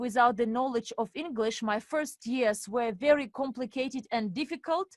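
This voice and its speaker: Speaking at a fairly slow pace with a Russian accent, this voice has lively intonation and a dry, close sound with no echo. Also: woman. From Estonia (Narva), Russian-speaking family. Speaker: webinar presenter and finance coach. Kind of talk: webinar presentation. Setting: online webinar with interpreters.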